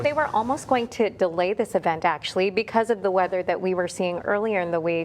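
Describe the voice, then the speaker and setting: Over noticeable background noise, a woman at medium pitch talks very fast with hardly any pauses and ordinary pitch variation. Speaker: news anchor and reporter. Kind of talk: unscripted live TV news ad-lib. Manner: upbeat.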